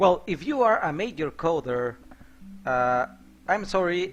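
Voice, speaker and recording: With music in the background, a man with a Mexican accent speaks at a high pitch with lively intonation. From Mexico. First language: Spanish. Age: 30s. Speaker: software developer and game modder streaming. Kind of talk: live coding stream. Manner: hesitant with frequent fillers.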